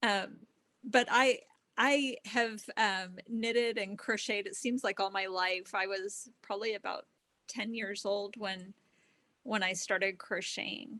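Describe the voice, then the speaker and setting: A woman talks with a Texan accent and a bright, sharp tone at a fairly slow pace. Her intonation is fairly even, and the background is quiet. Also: medium pitch for a woman. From Texas. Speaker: test knitter. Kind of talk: casual interview chat.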